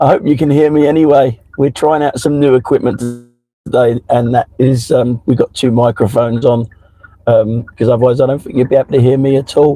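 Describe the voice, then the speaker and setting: A man at a fairly quick pace with fairly even intonation, music playing in the background. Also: medium pitch for a man. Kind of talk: casual live-stream chat while driving.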